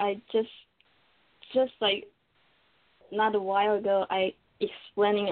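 A woman of medium pitch with a non-native accent. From Taiwan. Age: 20s. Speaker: caller. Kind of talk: call-in advice. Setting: computer call. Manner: halting.

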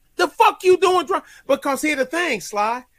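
A man with an American accent speaks in a raised, projected voice with an animated, bright, sharp tone. His intonation is lively and his pace moderate. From Brooklyn, New York (Crown Heights), Jamaican family. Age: 50s. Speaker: military veteran. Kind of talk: casual chat.

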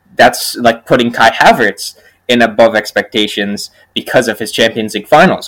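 An ordinary speaking voice from a man, medium in pitch and moderate in pace, with a dry, close sound and no echo. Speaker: podcast co-host. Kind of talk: casual chat.

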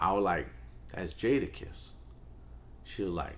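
Speaking fairly slowly in a New Orleans accent, a man with a very deep, low pitch and vocal fry makes very wide pitch swings, with audible room echo. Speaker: music executive. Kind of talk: interview.

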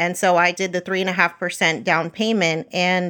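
On a very clean recording with a silent background, a woman speaks at a moderate pace in a bright, sharp tone at medium pitch. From US, Puerto Rican family. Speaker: personal finance podcaster. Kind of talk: interview.

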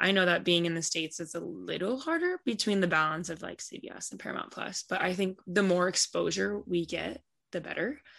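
A woman with a fairly low voice and vocal fry talks fairly quickly with hardly any pauses, her pitch varying in an ordinary way and her loudness swinging widely. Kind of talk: interview answers. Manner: casual, laid-back.

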